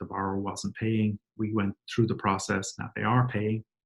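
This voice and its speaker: This man, with an Irish accent, has a medium pitch and a somewhat breathy voice at a moderate pace. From Ireland. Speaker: company CEO. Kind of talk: webinar presentation. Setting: webcast.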